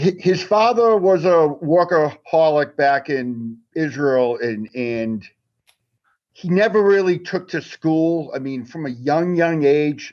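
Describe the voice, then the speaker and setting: Using lively intonation, a man with a Boston accent speaks very slowly at a fairly high pitch. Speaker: magazine writer. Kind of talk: casual chat.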